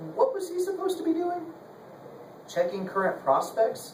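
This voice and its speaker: Noticeable background noise sits under a man who speaks at a fairly quick pace. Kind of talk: live dramatic reading of a novel chapter, narration with character voices.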